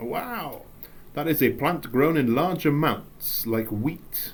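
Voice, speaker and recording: Speaking at a fairly slow pace with lively intonation, a man talks in an English accent. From England. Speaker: English teacher. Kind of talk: recorded lesson. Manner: animated.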